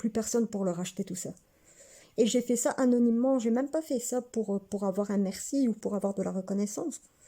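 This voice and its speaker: This woman has a dark, mellow tone at a medium pitch. She keeps a moderate pace and fairly even intonation. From Belgium, Hainaut near Mons. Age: 30s. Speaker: vlogger. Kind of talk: casual personal vlog monologue.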